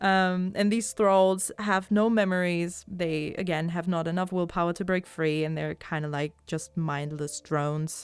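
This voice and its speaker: Fairly slow speech with a non-native accent, fairly even intonation and hardly any pauses, on a very clean recording with a silent background. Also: woman, fairly low pitch for a woman. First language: not English. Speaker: podcast host. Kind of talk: casual podcast chat. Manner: hesitant, many fillers.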